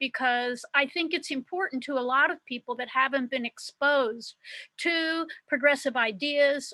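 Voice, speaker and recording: A woman projects her high, bright, sharp voice at a moderate pace. The sound is dry and close, with no echo. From US Midwest, Cincinnati. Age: 70s. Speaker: activist. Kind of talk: speech at online meeting.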